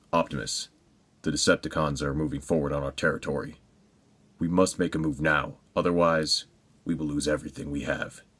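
A man's put-on character voice, very deep and low, at a fairly quick pace broken by long, frequent pauses, in a very clean recording with a silent background. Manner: heroic, urgent.

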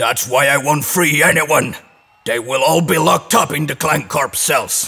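A man puts on a cartoonish character voice at a fairly high pitch. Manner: arrogant, menacing, bad-tempered.

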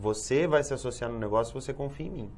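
Vocal fry runs through this voice, which shows ordinary pitch variation. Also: man. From Brazil, São Paulo. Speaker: Amway distributor / businessman. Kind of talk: TV interview answer. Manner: explanatory, conversational. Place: studio. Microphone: lapel.

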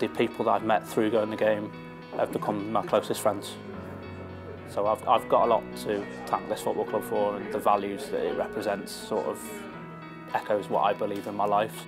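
A man speaks at a moderate pace with long, frequent pauses. Clear music plays in the background. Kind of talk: interview answer. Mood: reflective then delighted. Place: bar. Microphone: lapel.

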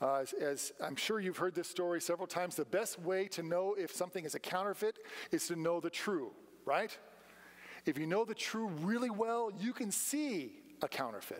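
Speaking at a high pitch, a man keeps to a moderate pace. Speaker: preacher. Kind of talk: sermon. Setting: church. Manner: rhetorical, engaging questions to congregation, call-and-response; earnest, emphatic, direct appeals. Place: church. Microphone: podium.

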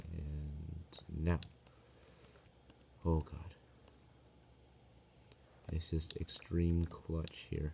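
Soft-spoken and somewhat breathy, a man with a very deep, low pitch speaks very slowly in a monotone, flat intonation, leaving long, frequent pauses over light background noise. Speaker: gamer. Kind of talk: casual gameplay commentary. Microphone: phone near.

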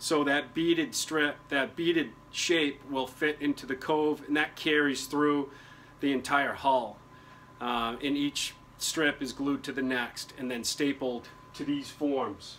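Slow in pace, a man speaks at a medium pitch with fairly even intonation and a fairly bright tone.

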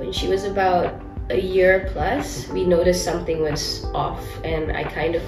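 A woman speaks with clear music in the background. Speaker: guest. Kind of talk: interview answer. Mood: earnest, warm, sometimes laughing. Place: studio.

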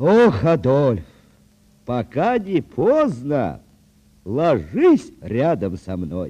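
A man puts on a character voice at a medium pitch, speaking at a very slow pace with long, frequent pauses.

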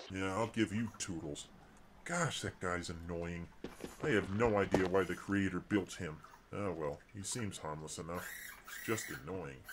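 Over clear background noise, a man uses a put-on character voice pitched very deep and low. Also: moderate pace. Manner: exasperated, sarcastic.

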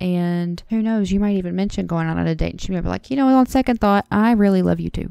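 A woman's voice with a dark, mellow tone. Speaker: podcast host. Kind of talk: advice podcast answer to a listener letter. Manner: casual, chatty.

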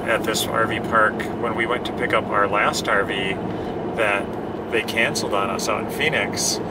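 A man speaks at a fairly slow pace. Loud noise fills the background. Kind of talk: casual vlog chat. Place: car. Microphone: camera far.

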